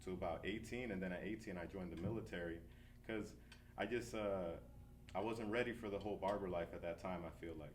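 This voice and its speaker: Fairly quick and with ordinary pitch variation, a man with an American accent talks at a fairly low pitch amid audible room echo. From New Jersey, US. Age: 30s. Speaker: barber and shop owner. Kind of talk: interview. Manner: casual, relaxed.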